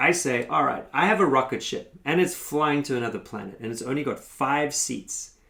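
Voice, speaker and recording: With a South African accent, a man speaks at a fairly high pitch. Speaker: consultancy founder and workshop facilitator. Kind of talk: motivational tutorial.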